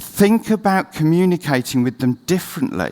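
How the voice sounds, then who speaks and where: A man talks at a moderate pace with a fairly high pitch that swings very widely. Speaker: CEO giving a conference talk; conference presenter. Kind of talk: conference presentation. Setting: stage with audience. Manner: speeding up. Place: stage.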